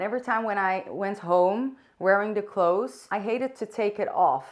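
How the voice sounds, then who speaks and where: A woman with a Dutch accent talks at a moderate pace and a medium pitch. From Netherlands. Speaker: vlogger. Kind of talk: casual chat. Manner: unscripted, halting at times.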